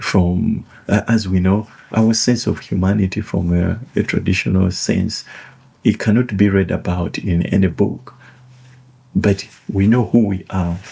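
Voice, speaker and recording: This man talks at a fairly slow pace in a fairly low, somewhat breathy voice with a dark, mellow tone and ordinary pitch variation. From Uganda (Buganda). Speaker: author and educational commentator. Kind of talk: reflective monologue. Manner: halting, with fillers and repetitions.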